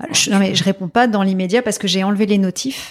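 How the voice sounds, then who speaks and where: With fairly even intonation, the words come out at a very fast pace. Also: woman. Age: 40s. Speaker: ceramics artisan and entrepreneur. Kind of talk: interview.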